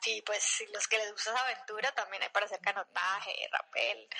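A normal speaking voice with fairly even intonation. The sound is dry and close, with no echo. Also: woman. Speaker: amateur runner. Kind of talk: interview testimony.

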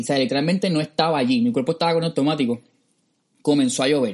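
Very fast speech from a man, with ordinary pitch variation. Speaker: podcast host. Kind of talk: casual chat.

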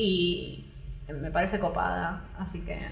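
A woman speaks with a Rioplatense accent. Noticeable background noise and audible room echo fill the recording. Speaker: podcast host. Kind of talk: casual chat. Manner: animated.

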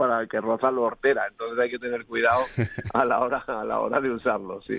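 Here is a man with a medium pitch. His intonation is monotone and flat. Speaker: filmmaker. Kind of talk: casual chat.

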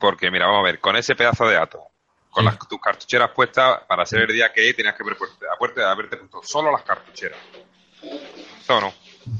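A man with an Andalusian accent is heard in a dry, close sound with no echo. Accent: Andalusian Spanish (Seville). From Seville, Spain. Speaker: vaping channel creator. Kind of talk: casual chat. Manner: fast.

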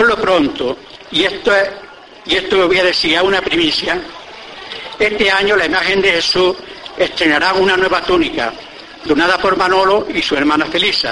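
This man uses a raised, projected voice at a high pitch, with ordinary pitch variation and very even loudness. He keeps a moderate pace broken by long, frequent pauses, over noticeable background noise. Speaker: presenter introducing the orator. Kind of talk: formal introduction speech before a pregón. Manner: formal, measured.

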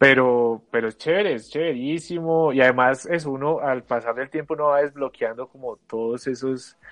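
An unremarkable speaking voice, a man at medium pitch and a moderate pace. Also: ordinary pitch variation. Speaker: university student podcast co-host. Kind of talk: casual chat.

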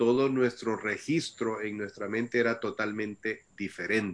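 At a fairly slow pace, a man talks with ordinary pitch variation in an ordinary speaking voice. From El Salvador. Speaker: missionary. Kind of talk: testimony. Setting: video call.

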